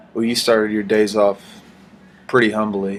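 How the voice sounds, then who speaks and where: The man talks at a moderate pace in a fairly low pitch. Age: 20s. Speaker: podcast host. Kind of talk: casual interview.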